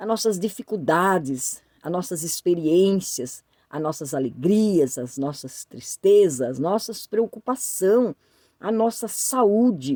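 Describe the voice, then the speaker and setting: A woman speaks very slowly at a medium pitch, her dark, mellow tone ranging through very wide pitch swings, in a dry, close sound with no echo. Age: 60s. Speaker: YouTuber. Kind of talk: casual talk to camera. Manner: halting, many fillers.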